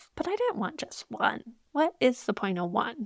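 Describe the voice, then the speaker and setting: A woman speaks with an American accent at a moderate pace and a high pitch. The sound is dry and close, with no echo. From US, Idaho. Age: 40s. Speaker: podcast host, nurse and health coach. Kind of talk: personal reflection monologue. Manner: casual, rambling.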